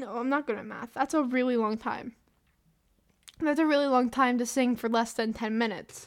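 With an American accent, a woman talks fairly quickly in a high-pitched, animated tone. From US South. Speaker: podcaster. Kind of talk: solo casual ramble. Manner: rambling, self-deprecating; animated, laughs often.

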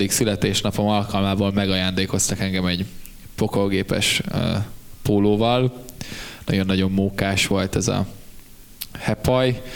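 A man's fairly low voice at a fairly slow pace, with very even loudness, fairly even intonation, and long, frequent pauses. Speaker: band member and podcast host. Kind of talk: casual chat.

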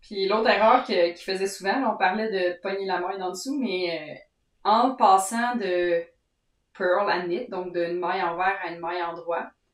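With a Quebec accent, a woman speaks at a fairly slow pace and medium pitch, her pitch varying in an ordinary way and her loudness swinging widely. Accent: Québécois French. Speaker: knitting podcast co-host. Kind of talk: casual chat.

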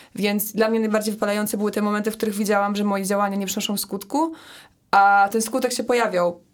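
A fairly high-pitched woman speaks at a very fast pace. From Poland, Poznań. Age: 20s. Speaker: climate activist. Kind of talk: casual chat.

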